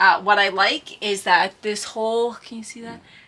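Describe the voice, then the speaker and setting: A woman speaks loudly. Noticeable background noise can be heard. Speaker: former paramedic puzzle vlogger. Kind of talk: casual vlog chat. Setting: greenhouse. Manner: hesitant, many fillers.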